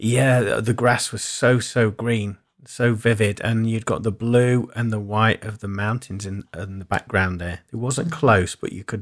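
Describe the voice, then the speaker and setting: A man speaks slowly, at a fairly slow pace, in a plain, everyday voice with fairly low pitch. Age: 40s. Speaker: spiritual podcast co-host and sound engineer. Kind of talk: casual chat.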